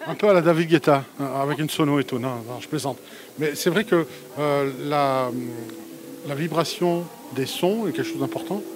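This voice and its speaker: Over music in the background, a man with a fairly high pitch and ordinary pitch variation talks at a moderate pace, with long, frequent pauses and big swings in loudness. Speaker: interviewer at a wellness fair. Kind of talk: casual interview. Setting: exhibition fair stand.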